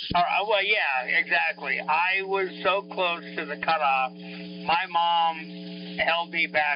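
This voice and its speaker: Against noticeable background noise, a man speaks at a very slow pace with hardly any pauses. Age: 60s. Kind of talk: casual chat. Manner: halting.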